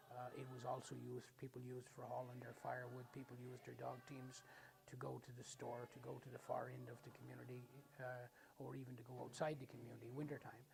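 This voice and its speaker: A Newfoundland accent at a very fast pace. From Newfoundland, Canada. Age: 70s. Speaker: Mi'kmaq community elder. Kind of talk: documentary interview.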